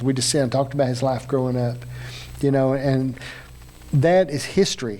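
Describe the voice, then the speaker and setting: Speaking at a very fast pace, a man has a strong Appalachian accent. His intonation is monotone and flat. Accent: thick Appalachian. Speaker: interview show host. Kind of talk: casual interview chat.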